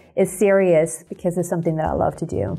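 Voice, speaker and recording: Over music in the background, a woman talks very fast in a fairly low pitch with monotone, flat intonation. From Colombia. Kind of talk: interview.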